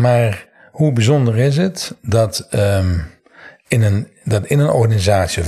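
A man speaks in a plain, everyday voice with lively intonation. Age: 60s. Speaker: NLP trainer. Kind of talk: interview.

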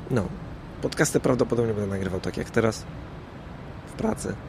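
This man's pitch shows ordinary variation. His pace is very fast. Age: middle-aged. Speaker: podcaster. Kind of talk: casual monologue. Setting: outdoors on a rooftop. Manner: halting.

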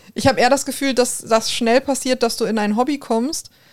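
A woman speaks with a Ruhr accent. Her pace is fairly quick and her intonation fairly even. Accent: Ruhr area German. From Ruhr area, Germany. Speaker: podcast co-host. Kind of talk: casual chat.

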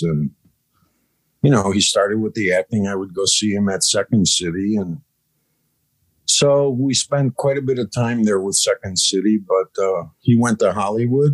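A man with an American accent speaks in a plain, everyday voice at medium pitch and a moderate pace, with ordinary pitch variation and a dry, close sound with no echo. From Chicago, US Midwest. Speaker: cannabis farm manager, former restaurateur. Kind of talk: casual interview chat.

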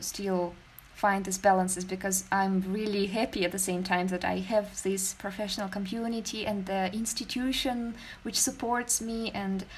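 Somewhat breathy speech moves at a moderate pace with fairly even intonation. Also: woman. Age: 20s. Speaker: podcast host. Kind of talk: interview. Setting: video call.

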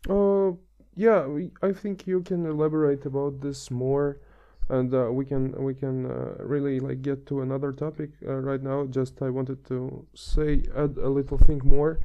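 A man speaks with a non-native accent at a moderate pace. His pitch is fairly high, with ordinary pitch variation. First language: not English. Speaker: transport planner. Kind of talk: casual chat.

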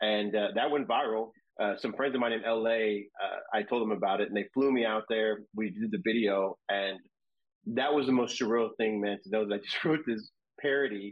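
A man in a normal speaking voice with an American accent, medium pitch, fairly even intonation and a moderate pace. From Texas, San Antonio area. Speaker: food influencer. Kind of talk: casual interview.

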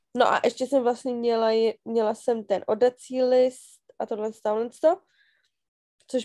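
Her voice is fairly high, with a dark, mellow tone and flat, monotone intonation. The woman speaks at a moderate pace in a dry, close sound with no echo. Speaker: podcast co-host. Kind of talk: casual chat.

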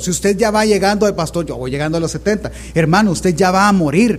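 A man talks fairly quickly in a high pitch with ordinary pitch variation. Background noise is noticeable. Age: 30s. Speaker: pastor. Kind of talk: sermon.

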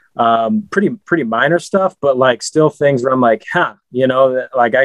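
A man with a medium-pitched voice and ordinary pitch variation talks at a moderate speed. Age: 20s. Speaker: podcast host. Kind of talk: interview. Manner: halting, many fillers.

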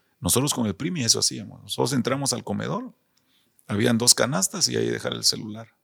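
A man with a Guatemalan accent, talking at a very fast pace. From Guatemala City, zona 6. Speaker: retired footballer. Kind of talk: interview.

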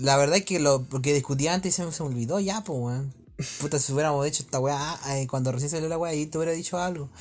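Over music in the background, a man with a Chilean accent talks at a very fast pace at a fairly high pitch with ordinary pitch variation. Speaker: podcast host. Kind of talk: casual chat.

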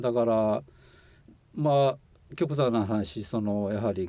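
Speaking at a fairly slow pace, a man uses lively intonation in a fairly low voice. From Shiga, Japan. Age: 60s. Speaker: former overseas volunteer, environmental consultant. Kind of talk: interview. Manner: halting, many fillers.

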